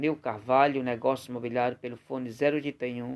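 A man speaking at a fairly slow pace with fairly even intonation. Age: 40s. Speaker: real estate agent. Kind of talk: sales pitch. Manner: halting, with frequent fillers.

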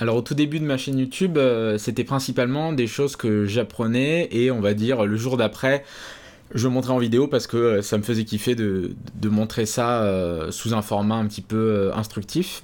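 A man speaks in an ordinary speaking voice at a moderate pace and medium pitch. His loudness stays very even, with ordinary pitch variation. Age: 20s. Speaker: YouTube programming educator. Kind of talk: interview.

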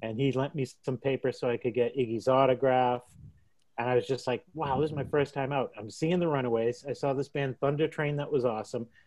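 A man with a Boston accent talks at a very fast pace, medium in pitch, his intonation fairly even. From Dorchester, Boston. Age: 60s. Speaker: punk musician. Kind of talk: casual interview.

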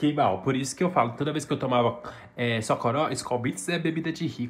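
Somewhat breathy, a man talks in an animated tone with ordinary pitch variation. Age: 20s. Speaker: podcast co-host. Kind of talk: casual chat.

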